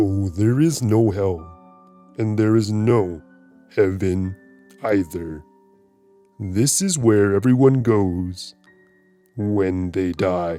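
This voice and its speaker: A man uses a put-on character voice at a fairly low pitch, speaking at a very slow pace with long, frequent pauses as faint music plays in the background. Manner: smiling, taunting.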